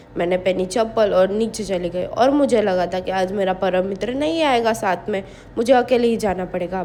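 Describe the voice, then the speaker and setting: Noticeable background noise behind a woman's fairly slow speech with ordinary pitch variation. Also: hardly any pauses. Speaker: vlogger. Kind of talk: vlog voice-over. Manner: casual, chatty.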